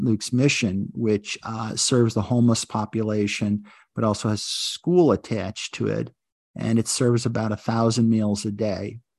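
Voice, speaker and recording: With an ordinary speaking voice at medium pitch, a man talks at a fairly slow pace with fairly even intonation, the sound dry and close with no echo over a quiet background. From US Northeast (Buffalo, New York). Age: 60s. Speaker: lawyer and judicial wellness coordinator. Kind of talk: interview.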